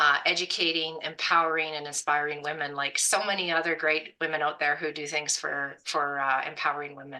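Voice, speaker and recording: A woman with a western Canadian accent talks at a fairly quick pace, with hardly any pauses. Her very deep, low pitch stays monotone and flat. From Canada, Alberta. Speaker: hunting program founder. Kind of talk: podcast interview.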